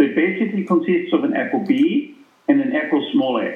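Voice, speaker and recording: A man speaks with a German accent. His pitch swings very widely. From Austria. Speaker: cardiologist and lipid specialist. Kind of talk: interview.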